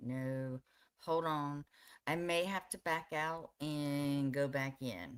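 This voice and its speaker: Soft-spoken and very slow, a woman talks at a very deep, low pitch with ordinary pitch variation. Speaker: live streamer. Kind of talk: casual chat.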